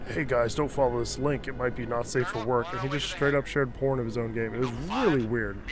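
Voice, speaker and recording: Over music in the background and audible room echo, a man speaks at a fairly quick pace. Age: 20s. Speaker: gaming streamer. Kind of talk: casual chat. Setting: live stream. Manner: halting.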